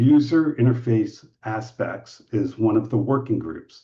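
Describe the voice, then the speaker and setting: A somewhat breathy male voice at medium pitch. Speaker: medical device safety standards expert. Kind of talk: webinar presentation.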